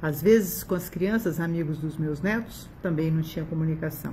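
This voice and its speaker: A woman's somewhat breathy, fairly low voice at a fairly quick pace, with ordinary pitch variation over light background noise. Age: 60s. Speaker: doctor giving a customer testimonial. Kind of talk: testimonial. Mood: warm, enthusiastic. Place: home room. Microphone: phone near.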